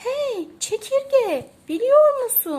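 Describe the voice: A woman's put-on character voice, extremely high in pitch with big pitch swings, a slightly mellow tone and a slow pace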